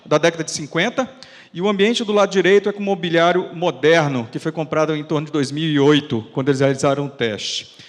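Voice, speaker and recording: A man with a high pitch talks at a fairly quick pace with lively intonation. Noticeable background noise is present. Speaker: fire safety researcher and firefighter officer. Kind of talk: lecture. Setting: auditorium with audience. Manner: fast.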